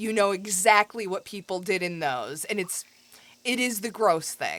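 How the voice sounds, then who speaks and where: A woman speaks with a Midwestern accent. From US Midwest. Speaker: video game streamer. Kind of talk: casual chat. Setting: live stream. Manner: animated.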